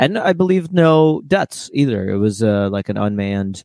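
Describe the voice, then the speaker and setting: A plain, everyday voice from a man, fairly low in pitch with ordinary variation, at a moderate pace, on a very clean recording with a silent background and a dry, close sound with no echo. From Ukraine (Odessa), raised in US from age 7. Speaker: comedian. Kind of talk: casual chat.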